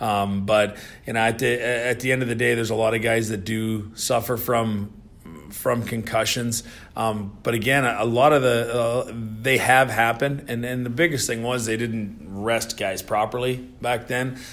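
A man with a Canadian accent speaks at a moderate pace, his pitch medium and his intonation flat and monotone. There is audible echo from the room. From Canada. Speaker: retired hockey enforcer. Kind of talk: casual interview. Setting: office.

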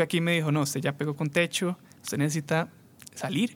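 This man has a plain, everyday voice. He talks at a fairly quick pace with a fairly high pitch. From Costa Rica, San José area. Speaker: musician. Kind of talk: testimony.

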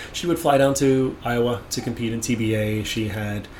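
With a Canadian accent, a man talks at a moderate pace amid noticeable background noise and audible room echo. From Toronto, Ontario, Canada. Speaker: Muay Thai referee and judge. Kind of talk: interview. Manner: hesitant, many fillers and repeats.

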